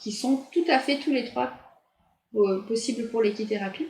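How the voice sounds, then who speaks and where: This woman's voice is fairly high and somewhat breathy. She moves at a fairly slow pace with ordinary pitch variation. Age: 40s. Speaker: nurse and equine therapist. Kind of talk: interview.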